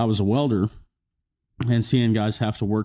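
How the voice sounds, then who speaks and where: Speaking at a moderate pace with an American accent, a man has a fairly low, dark, mellow voice and monotone, flat intonation. The sound is dry and close with no echo against a quiet background. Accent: country twang. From rural Missouri. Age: 20s. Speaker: country musician. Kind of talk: interview.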